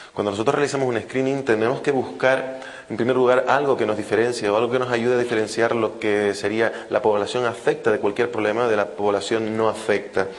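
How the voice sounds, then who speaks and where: Hardly pausing, a man talks at a fairly quick pace and medium pitch with fairly even intonation, amid noticeable background noise and audible room echo. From Canary Islands, Spain. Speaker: fetal medicine physician, invited speaker. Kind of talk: lecture. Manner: fast.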